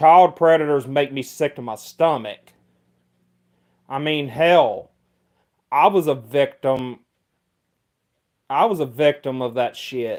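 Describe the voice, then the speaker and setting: With a Mississippi accent, a man speaks very slowly at a fairly high pitch, leaving long, frequent pauses. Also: ordinary pitch variation. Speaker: livestreamer. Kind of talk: casual chat. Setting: livestream. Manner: halting.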